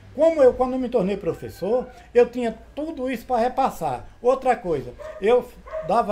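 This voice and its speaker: Speech with lively intonation, set against noticeable background noise. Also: man. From Brazil, Sergipe (Northeast). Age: 70s. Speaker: cordel poet and teacher. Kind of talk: interview testimony.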